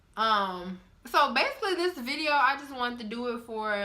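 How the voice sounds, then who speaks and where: Audible room echo around a woman's fairly slow speech. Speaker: vlogger. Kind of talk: casual vlog talk.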